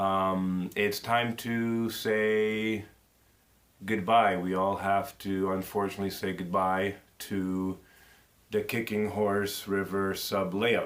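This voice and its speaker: A man speaks very slowly with a fairly low pitch. His intonation is monotone and flat. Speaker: model railroad hobbyist. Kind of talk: casual vlog. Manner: halting.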